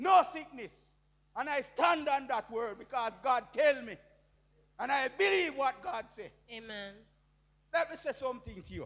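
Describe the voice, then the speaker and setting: A man's extremely high-pitched voice at a moderate pace, with lively intonation, big swings in loudness and long, frequent pauses. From Jamaica. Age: 60s. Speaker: preacher. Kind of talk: testimony. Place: church. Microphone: handheld.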